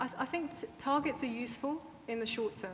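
A woman speaks with light background noise audible behind her. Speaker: sports charity chair; speaker. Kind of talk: panel discussion. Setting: stage with audience. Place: hall. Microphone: lapel.

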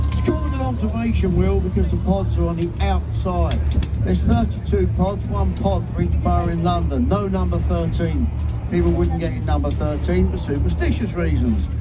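Loud background noise runs under a male voice moving at a moderate pace, his pitch varying in an ordinary way. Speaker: boat tour guide. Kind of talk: live tour commentary with jokes. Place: boat.

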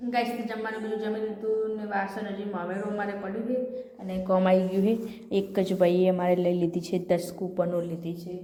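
Noticeable background noise and audible room echo around a woman's fairly even intonation. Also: medium pitch for a woman. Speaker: family vlogger. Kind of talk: casual vlog talking to camera.

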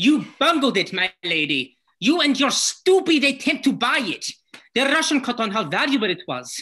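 In a put-on character voice, the bright, sharp tone carries a slightly husky edge, with big pitch swings at a moderate pace. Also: woman, fairly high pitch for a woman.

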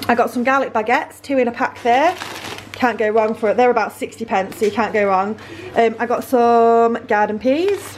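A woman talks at a moderate pace with ordinary pitch variation. There is light background noise. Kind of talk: casual vlog chat. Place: kitchen. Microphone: phone near.

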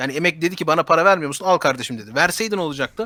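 A man talks at a very fast pace with ordinary pitch variation. His tone is bright and sharp. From Germany, Turkish diaspora. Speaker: political commentator. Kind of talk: casual chat.

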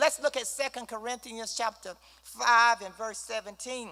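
Raised and projected, a woman's voice comes across with an animated tone. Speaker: Bible study teacher. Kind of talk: Bible study teaching.

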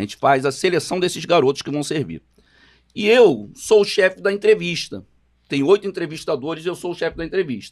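A man talks at a fairly quick pace in a high voice with lively intonation. The background is quiet. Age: 50s. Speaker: samba composer, podcast co-host; podcast co-host. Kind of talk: casual chat. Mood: relaxed, convivial. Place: studio. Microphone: studio mic.

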